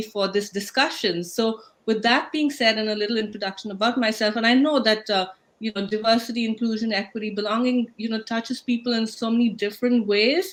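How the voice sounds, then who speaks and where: A woman with an Indian accent at a fairly quick pace. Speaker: talk show host. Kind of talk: panel discussion moderation. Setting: livestream video call.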